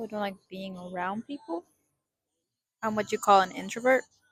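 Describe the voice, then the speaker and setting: Music plays in the background as a woman speaks at medium pitch. Her voice sounds dry and close, with no echo. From Mexican American, US. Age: 20s. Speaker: vlogger. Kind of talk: casual vlog monologue. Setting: outdoors in a park. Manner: rambling, hesitant with fillers.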